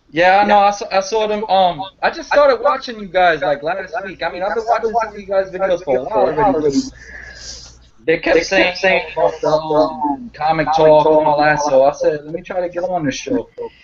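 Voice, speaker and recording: Against noticeable background noise, a man with a New York accent speaks at a high pitch with lively intonation. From New York City (Harlem). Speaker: comic book video reviewer. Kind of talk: casual chat. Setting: video call.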